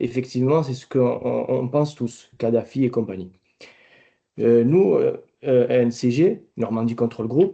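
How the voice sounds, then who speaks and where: A man with a southern French accent speaks at a fairly slow pace. His medium-pitched voice has a dark, mellow tone and ordinary pitch variation. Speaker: company director, export testimony. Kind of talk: webinar testimony.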